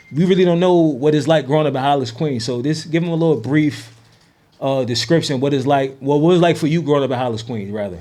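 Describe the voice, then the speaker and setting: The speaker has an American accent and talks at a very fast pace with ordinary pitch variation. Audible room echo surrounds the voice. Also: man, fairly high pitch for a man. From New Jersey. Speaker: podcast host. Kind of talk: casual interview.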